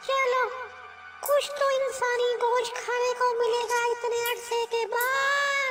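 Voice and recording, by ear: Over clear music in the background, a put-on character voice with an extremely high pitch speaks at a very slow pace.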